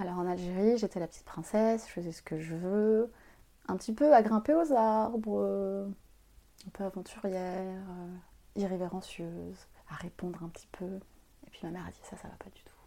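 At a moderate pace, a woman speaks with a dark, mellow tone at medium pitch, with ordinary pitch variation and big swings in loudness. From Algeria and Paris suburbs. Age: young. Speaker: author and consultant. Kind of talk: personal testimony interview. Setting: at home.

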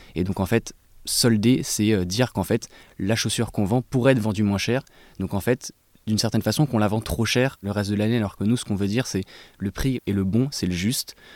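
In a very clean recording with a silent background and a dry, close sound without echo, a man talks at a fairly quick pace with fairly even intonation. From Paris suburbs, France. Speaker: sneaker brand co-founder. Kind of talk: interview. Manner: halting.

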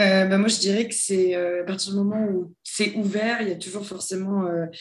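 In a room with audible echo, a woman talks at a moderate pace with a medium pitch and a monotone, flat intonation. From southern France (near Toulon). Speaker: head of human resources. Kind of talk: interview.

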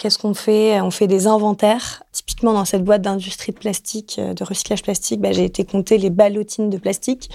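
Speaking at a fairly quick pace, a woman has a dark, mellow tone and monotone, flat intonation. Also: medium pitch for a woman. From Marseille, southern France. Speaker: finance manager. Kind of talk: interview.

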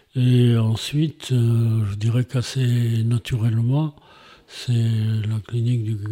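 A man's somewhat breathy, dark and mellow voice at medium pitch, very slow, monotone and flat, with very even loudness. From Montpellier, southern France. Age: 70s. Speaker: retired former mayor. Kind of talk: interview. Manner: halting.

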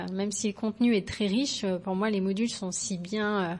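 At a fairly slow pace, a woman talks in an ordinary speaking voice of medium pitch, with a quiet background. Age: 30s. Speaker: yoga teacher. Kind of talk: recorded voice message testimony.

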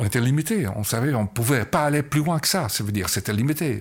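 The voice is somewhat breathy with lively intonation. It moves at a moderate pace. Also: man. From Belgium. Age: 80s+. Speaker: photographer. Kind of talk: interview. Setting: artist's studio. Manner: halting.

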